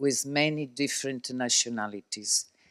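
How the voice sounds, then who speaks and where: Very slowly and with an Italian accent, a man speaks on a very clean recording with a silent background and a dry, close sound with no echo. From Italy. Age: 60s. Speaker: shipping executive. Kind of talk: interview.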